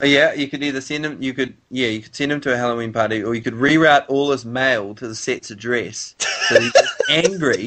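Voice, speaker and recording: A man with a plain, everyday voice talks fairly quickly at medium pitch with hardly any pauses, ordinary pitch variation and big swings in loudness. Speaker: amateur voice performer. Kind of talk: casual comedic conversation.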